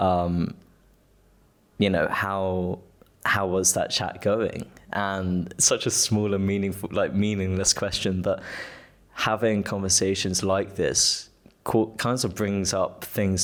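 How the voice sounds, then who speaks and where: A man at a fairly slow pace, fairly low in pitch, with monotone, flat intonation. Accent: British. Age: 20s. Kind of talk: casual chat. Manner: loud; halting.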